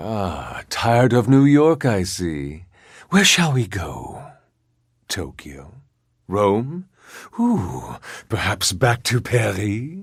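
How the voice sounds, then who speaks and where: A man's put-on character voice at medium pitch, very slow pace, with long, frequent pauses. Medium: machinima. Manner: sly, insinuating.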